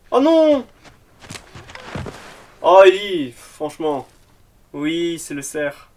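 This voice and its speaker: Against noticeable background noise, a man speaks very slowly in a high pitch with lively intonation, big swings in loudness, and long, frequent pauses. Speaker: youtuber reacting to a TV episode. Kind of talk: reaction commentary. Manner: animated.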